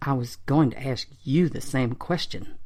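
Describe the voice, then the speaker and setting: A woman does a put-on character voice, growling in a very deep, low pitch. She keeps a moderate pace with ordinary pitch variation. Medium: read story. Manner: cold, menacing.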